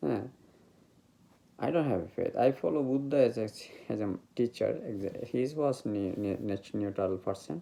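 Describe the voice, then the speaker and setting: A man with a Bengali accent speaks at a moderate pace in a medium-pitched, dark and mellow tone, his intonation lively and his pauses long and frequent. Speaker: meditation teacher. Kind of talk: spiritual talk. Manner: halting.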